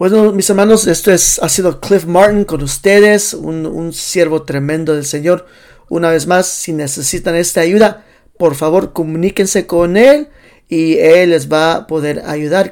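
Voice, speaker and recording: A man with a high voice talks fairly slowly, his pitch varying in an ordinary way. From Los Angeles, US, Salvadoran parents. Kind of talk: casual interview. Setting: livestream.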